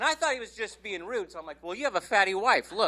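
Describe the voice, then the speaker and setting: With lively intonation, the voice is raised and projected, its tone bright and sharp. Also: man. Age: 60s. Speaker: stand-up comedian. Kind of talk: stand-up. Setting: stage with audience.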